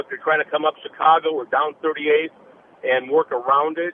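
Noticeable background noise surrounds a man speaking in an Upper Midwest accent. His fairly high voice moves at a moderate pace with monotone, flat intonation. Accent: Upper Midwest American. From Minneapolis, Minnesota. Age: 60s. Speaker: caller, rideshare driver. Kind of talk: phone-in call. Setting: phone call from a car.

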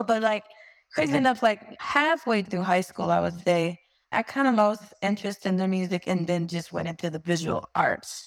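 A plain, everyday voice with an American accent, ordinary pitch variation, and a moderate pace. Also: woman, medium pitch for a woman. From US, Miami. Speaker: singer and visual artist. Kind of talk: interview. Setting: video call.

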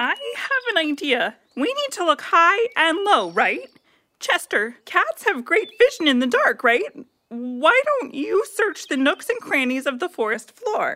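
Pitch swings very widely in this put-on character voice, delivered at a fairly slow pace. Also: female-sounding voice, extremely high pitch for a woman. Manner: dry, a bit grumpy, then organizing.

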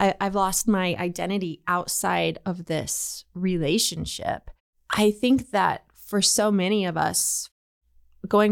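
In a very clean recording with a silent background, a woman with a normal speaking voice talks at a medium pitch with ordinary pitch variation. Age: 30s. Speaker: podcast host. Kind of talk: casual chat.

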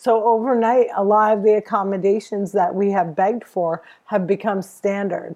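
Over a quiet background, a woman with an American accent speaks in a dark, mellow tone at a medium pitch and a moderate pace. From New Jersey, US. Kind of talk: interview. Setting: remote interview from home. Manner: animated.

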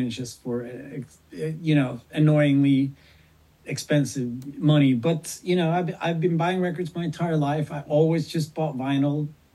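With a dark, mellow tone and a somewhat breathy quality, a man speaks at a fairly high pitch using fairly even intonation. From Sweden. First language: Swedish. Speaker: punk singer and record collector. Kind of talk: interview.

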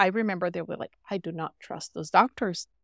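The speaker has a Portuguese accent and ordinary pitch variation, in a very clean recording with a silent background and a dry, close sound with no echo. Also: woman. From Brazil. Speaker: physician. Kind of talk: interview.

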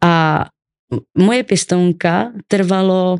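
The sound is dry and close, with no echo. The intonation stays fairly even. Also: woman. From Czechia, Ostrava. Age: 20s. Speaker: guest sharing childhood trauma. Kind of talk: personal testimony interview. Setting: studio.

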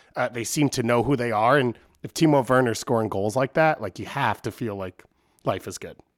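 A fairly quick man with an American accent and an ordinary speaking voice, medium pitch and ordinary pitch variation, in a very clean recording with a silent background and a dry, close sound with no echo. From Long Island, New York. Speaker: soccer podcast guest panelist. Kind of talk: casual banter about soccer.

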